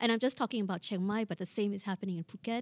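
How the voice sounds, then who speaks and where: A woman with a Thai accent speaks in a dark, mellow tone with fairly even intonation, on a very clean recording with a silent background and a dry, close sound with no echo. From Thailand, Bangkok. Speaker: public administration professor. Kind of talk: interview conversation.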